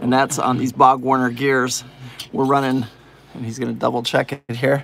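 Over light background noise, a man talks at a moderate pace with monotone, flat intonation. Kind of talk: casual tutorial narration. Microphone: phone near.

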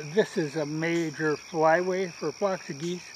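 Amid noticeable background noise, a man with a high pitch talks in a dry sound with no echo. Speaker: vlogger. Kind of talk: casual vlog chat. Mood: relaxed and amused. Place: garden.

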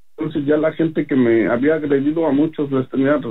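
This man's voice has a fairly high pitch. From Mexico City. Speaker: religious testimony giver. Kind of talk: testimony. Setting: phone call.

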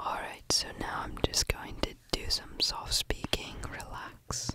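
The words come out in a whisper. The pace is very slow. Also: man. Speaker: ASMR creator. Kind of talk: ASMR soft speaking, repeated trigger word. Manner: soft, close-mic ASMR speaking. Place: home room. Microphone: studio mic.

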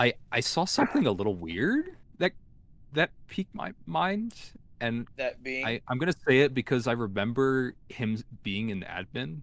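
A man's voice with very wide pitch swings, dry with no echo. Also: moderate pace. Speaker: online game player; game streamer. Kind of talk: casual gaming chat. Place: home room.

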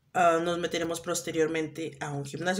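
Speaking fairly quickly, a woman with a fairly low pitch talks in a Mexican accent. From Mexico. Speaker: vlogger. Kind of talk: casual vlog chat. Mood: relaxed, a bit wry. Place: home room. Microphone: phone near.

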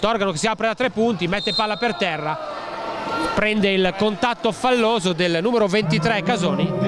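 A man at a moderate pace with noticeable background noise. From Italy. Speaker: basketball commentator. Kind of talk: live sports commentary. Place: stadium.

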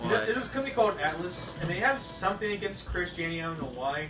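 A man is speaking. Light background noise and audible room echo surround his voice. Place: home room.

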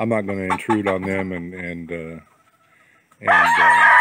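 A man speaks fairly slowly in a dry sound with no echo, against noticeable background noise. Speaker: farm vlogger. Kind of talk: casual vlog chat. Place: farm machine. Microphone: phone near.

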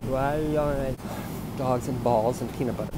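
With a dry sound and no echo, a man speaks at a moderate pace amid noticeable background noise. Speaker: comedian playing two characters. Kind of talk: comedy sketch dialogue. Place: plane. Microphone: earbuds.

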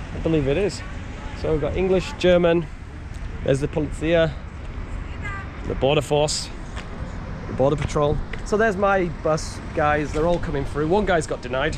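A man at a moderate pace with fairly even intonation and long, frequent pauses, dry sound with no echo, and noticeable background noise. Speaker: travel vlogger. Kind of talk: casual vlog chat. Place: street. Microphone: phone near.

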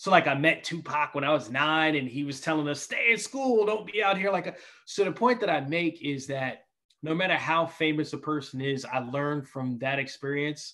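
At a moderate pace and with ordinary pitch variation, an American accent comes through in a bright, sharp tone against a quiet background. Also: man, fairly high pitch for a man. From New York. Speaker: basketball TV reporter. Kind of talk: casual interview chat. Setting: video call. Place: home room. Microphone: video call.

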